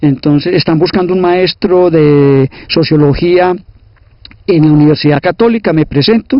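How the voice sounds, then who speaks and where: A man speaks with fairly even intonation. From Colombia, Caldas (Salamina). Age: 60s. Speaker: sociologist and teacher. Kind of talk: interview, life story. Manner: hesitant repetitions.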